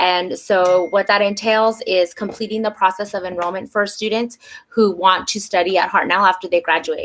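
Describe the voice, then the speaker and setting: A woman speaks with an American accent at a medium pitch. Her intonation is monotone and flat. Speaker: community college outreach coordinator. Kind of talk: informational presentation. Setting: webinar video call. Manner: fast; hesitant fillers (um).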